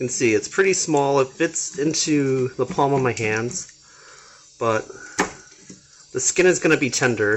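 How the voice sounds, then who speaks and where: Soft-spoken and fairly slow, with long, frequent pauses and ordinary pitch variation, the voice comes through noticeable background noise. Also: man, fairly high pitch for a man. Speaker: cooking and gardening vlogger. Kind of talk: casual cooking tutorial. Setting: kitchen at home.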